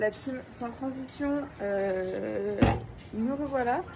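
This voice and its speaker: With audible room echo and noticeable background noise, a woman speaks at a fairly high pitch with ordinary pitch variation. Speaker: travel vlogger. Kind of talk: casual vlog. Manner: hesitant, many fillers; animated.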